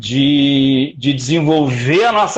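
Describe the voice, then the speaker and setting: A man talks with a fairly high pitch. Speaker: lecturer on philosophy. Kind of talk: online lecture. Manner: animated, many fillers.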